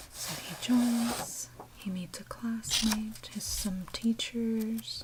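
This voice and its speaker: A soft-spoken speaker whispers at a very slow pace. Noticeable background noise runs underneath. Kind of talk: ASMR manga review. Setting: recorded for ASMR with page-flipping and tapping sounds. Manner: softly spoken, whispered.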